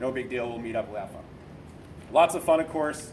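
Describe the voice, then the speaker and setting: Here a man speaks with an American accent. His fairly high voice keeps a fairly even intonation. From Boston area, New England. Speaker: navy corpsman sharing suicide survival story. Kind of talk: personal testimony talk. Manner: conversational, with filler words.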